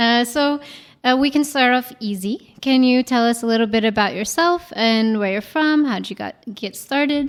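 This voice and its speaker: Speaking at a moderate pace, a woman uses a high-pitched voice with ordinary pitch variation. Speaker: podcast host. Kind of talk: scripted intro then casual interview.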